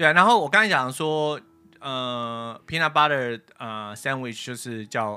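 Over music in the background, the speaker talks at a very slow pace with lively intonation and big swings in loudness. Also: man, medium pitch for a man. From Taiwan. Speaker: podcast host. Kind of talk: casual chat. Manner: hesitant with many fillers.

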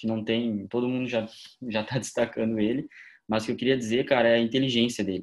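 A man with a medium-pitched voice talks at a very fast pace with fairly even intonation over a quiet background. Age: 20s. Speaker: football podcast co-host, journalism student. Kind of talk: casual chat.

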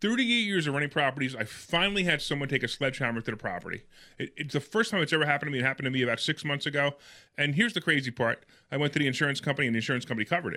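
Very fast and lively in intonation, a man speaks in a fairly high voice with a bright, sharp tone. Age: 50s. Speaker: real estate investing radio host. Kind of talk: radio call-in show chat. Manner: animated.

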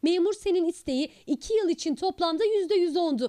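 This woman's voice has a dark, mellow tone and lively intonation, captured with a dry, close sound and no echo. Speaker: news reporter. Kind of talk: news narration.

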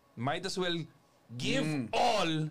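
The man speaks at a high pitch. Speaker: network marketing show host. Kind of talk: casual talk.

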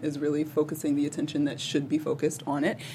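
Background noise is noticeable here. The speech moves at a fairly quick pace. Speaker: co-host. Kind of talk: casual chat.

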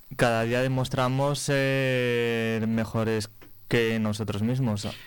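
A man with a medium-pitched voice speaks at a very slow pace, with audible room echo. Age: young. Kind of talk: radio interview.

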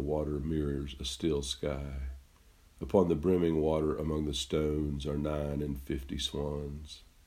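A man with a very deep, low pitch speaks in a monotone, flat intonation, his dark, mellow tone somewhat breathy. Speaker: poet and podcast host. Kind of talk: poetry reading. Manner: slow, measured, reflective, with a pensive, melancholy reading; conversational, with some hesitations in the intros.

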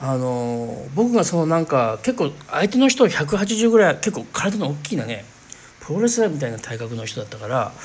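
Pitch swings are very wide and loudness swings big. The pace is moderate. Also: man, fairly high pitch for a man. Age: 40s. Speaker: spiritual podcast host. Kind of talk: casual monologue.

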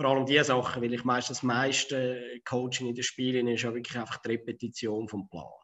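This man talks at a fairly quick pace with hardly any pauses, his intonation flat and monotone. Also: medium pitch for a man. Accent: Zurich. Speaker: floorball youth coach. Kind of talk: casual interview.

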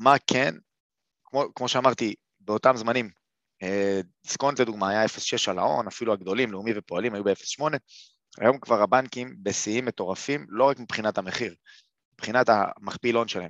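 A man talks at a medium pitch and a moderate pace, with ordinary pitch variation and long, frequent pauses. The sound is dry and close with no echo. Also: quiet background. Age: 30s. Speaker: investment educator. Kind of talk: webinar lecture. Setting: live webinar. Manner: halting, many fillers.

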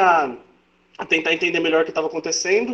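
A man talks with lively intonation. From Brazil. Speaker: football commentator. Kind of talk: casual chat.

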